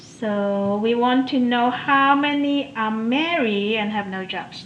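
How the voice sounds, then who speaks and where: Amid noticeable background noise, a woman with a high pitch and ordinary pitch variation speaks at a very slow pace. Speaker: math instructor. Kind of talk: lecture.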